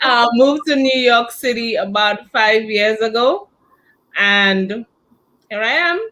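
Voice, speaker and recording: A woman with a Saint Lucian accent speaks fairly slowly in a fairly high voice, with ordinary pitch variation. She leaves long, frequent pauses. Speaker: entrepreneur, handbag designer. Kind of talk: interview.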